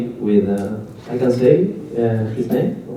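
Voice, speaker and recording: Over noticeable background noise and audible room echo, a man talks at a fairly slow pace with an Argentine accent. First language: Spanish. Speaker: cooperative movement activist. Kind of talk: talk to an audience. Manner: halting, with many fillers.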